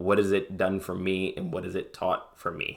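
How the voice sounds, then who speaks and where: A man is heard in a very clean recording with a silent background. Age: 20s. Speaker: vlogger. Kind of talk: casual monologue. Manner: halting.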